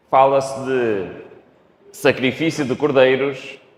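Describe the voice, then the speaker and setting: A man's fairly slow delivery carries audible echo from the room. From Portugal. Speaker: preacher. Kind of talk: sermon. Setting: church. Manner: speeds up when excited.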